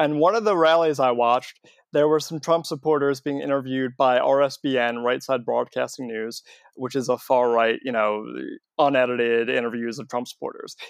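Over a quiet background, a man speaks at a medium pitch and moderate pace. His pitch variation is ordinary. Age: 20s. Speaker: anti-fascist activist. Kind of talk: casual chat. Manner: halting.

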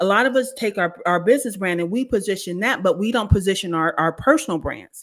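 Very fast, nearly pauseless speech with an American accent, over a silent background in a very clean recording. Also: woman, medium pitch for a woman. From US (California). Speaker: brand strategist and author. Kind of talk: casual chat. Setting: live social audio room.

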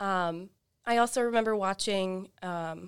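A plain, everyday voice with an American accent and fairly even intonation, on a very clean recording with a silent background. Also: woman. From US South, Florida Panhandle. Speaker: doctoral student. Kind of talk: interview.

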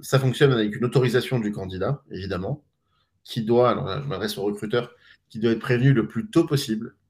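Using a plain, everyday voice, a man moves at a fairly quick pace with ordinary pitch variation. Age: 40s. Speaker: startup co-founder. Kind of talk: live stream interview.

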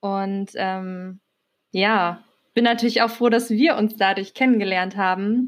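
A woman talks very slowly, keeping her intonation fairly even. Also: medium pitch for a woman, very clean recording, silent background. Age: 20s. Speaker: podcast co-host, macramé artist. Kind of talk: casual chat.

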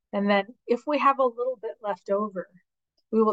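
This woman has a plain, everyday voice with a fairly high pitch. The sound is dry and close, with no echo. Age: 50s. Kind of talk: interview conversation.

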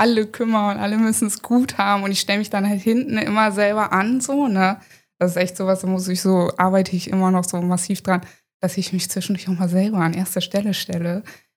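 This is a woman with an ordinary speaking voice at a medium pitch. Her intonation is fairly even. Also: very clean recording, silent background. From Hanover, northern Germany. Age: 30s. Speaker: content creator. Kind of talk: casual interview.

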